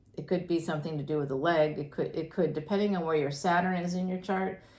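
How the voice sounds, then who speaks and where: In an audible room echo, a woman with an American accent talks at a fairly quick pace, with a fairly low pitch and fairly even intonation. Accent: Boston accent, slight, pops out occasionally. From greater Boston, Massachusetts. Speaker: astrologer and tarot reader. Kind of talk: tarot reading monologue. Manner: casual, chatty.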